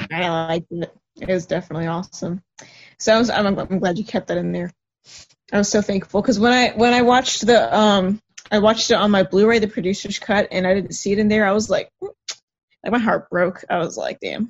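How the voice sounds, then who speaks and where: Her voice is a plain, everyday voice, pitched at a medium level for a woman with ordinary pitch variation. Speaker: horror fan guest. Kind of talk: casual chat. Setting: video call.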